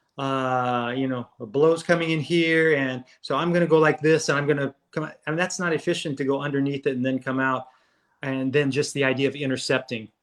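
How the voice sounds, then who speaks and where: A plain, everyday voice with an American accent moves at a fairly quick pace. Intonation is fairly even against a quiet background. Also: man, fairly high pitch for a man. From Southern California. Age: 60s. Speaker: martial arts instructor. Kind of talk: interview.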